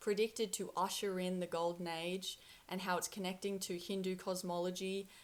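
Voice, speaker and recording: Speech in an Australian accent comes at a fairly quick pace with monotone, flat intonation. The recording is very clean, with a silent background. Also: woman. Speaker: spiritual content creator. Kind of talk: casual monologue to camera.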